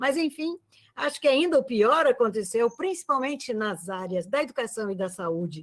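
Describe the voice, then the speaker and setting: The woman's pitch is high and swings very widely. She keeps a moderate pace. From Santa Catarina highlands, Brazil (Capinzal). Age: 70s. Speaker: retired university professor. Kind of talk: lecture. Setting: video call.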